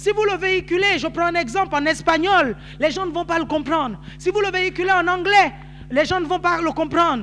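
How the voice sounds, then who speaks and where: With noticeable background noise behind him, a man at an extremely high pitch uses a raised, projected voice, ordinary pitch variation and a moderate pace. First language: Nzebi (speaking French). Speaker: pastor. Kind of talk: sermon. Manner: animated.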